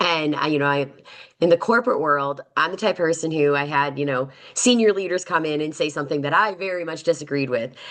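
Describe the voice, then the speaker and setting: Loud and at a fairly quick pace, a woman speaks with an American accent in a passionate, animated, bright, sharp tone at a very deep, low pitch. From Chicago, South Side. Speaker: construction tech leader, panelist. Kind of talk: panel webinar discussion. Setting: online webinar. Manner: loud and brash.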